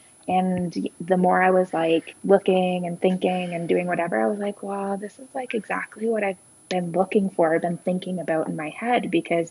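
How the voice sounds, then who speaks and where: A woman's normal speaking voice at a medium pitch, moderate pace and fairly even intonation. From southwestern Ontario, Canada. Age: 30s. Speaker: guest living abroad. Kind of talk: casual interview chat.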